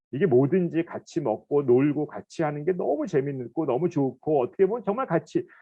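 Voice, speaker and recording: A man's fairly high voice, animated in tone, with lively intonation at a moderate pace. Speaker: professor. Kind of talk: lecture. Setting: recorded online lecture.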